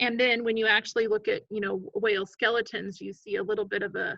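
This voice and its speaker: Heard with a dry, close sound and no echo, a woman speaks in a bright, sharp tone at a fairly high pitch with fairly even intonation. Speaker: biology teacher. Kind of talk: recorded lecture. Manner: casual with fillers.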